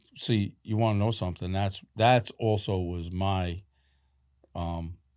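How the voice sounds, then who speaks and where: The recording is very clean, with a silent background. A man speaks at a fairly slow pace with a fairly low pitch and fairly even intonation. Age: 60s. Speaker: podcast host and boxing coach. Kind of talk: casual interview. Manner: halting.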